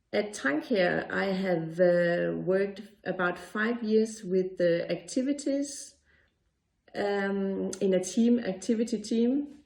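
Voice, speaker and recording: A woman with a Danish accent speaks very slowly at a medium pitch with ordinary pitch variation. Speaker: occupational therapist. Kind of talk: pre-recorded presentation. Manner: halting, pauses searching for words.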